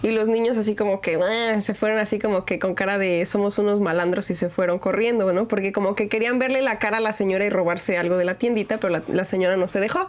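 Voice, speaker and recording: A woman talks at a very fast pace with hardly any pauses, her medium pitch and fairly even intonation held at very even loudness over noticeable background noise. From Mexico. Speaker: podcast host. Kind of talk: casual chat.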